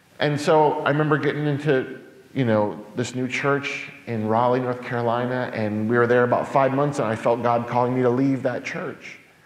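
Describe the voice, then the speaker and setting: A man with an American accent speaks at a moderate pace with fairly even intonation and hardly any pauses, with audible room echo. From New York. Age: 40s. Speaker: pastor. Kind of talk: public talk. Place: church.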